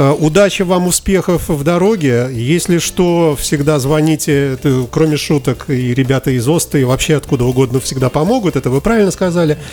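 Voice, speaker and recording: Background noise is noticeable as a man speaks. His pace is fairly quick, with hardly any pauses. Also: ordinary pitch variation, very even loudness. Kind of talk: radio interview. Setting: studio.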